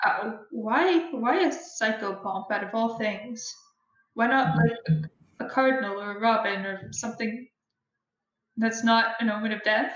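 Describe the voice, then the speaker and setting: Using an unremarkable speaking voice, a woman talks at a fairly slow pace with fairly high pitch and lively intonation. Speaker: player in actual play podcast. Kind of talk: tabletop roleplaying game session. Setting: online voice call.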